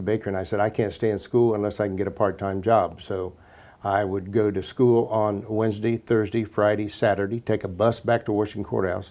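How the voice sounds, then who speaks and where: A man's fairly low, dark and mellow voice, flat and monotone at a fairly quick pace, on a very clean recording with a silent background. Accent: American. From central Ohio, US Midwest. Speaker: salon business founder. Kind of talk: interview.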